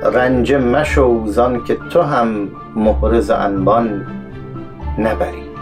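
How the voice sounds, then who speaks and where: Very slow speech from a man, with clear music in the background. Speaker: poetry reciter. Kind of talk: poetry reading. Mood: calm, measured. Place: studio.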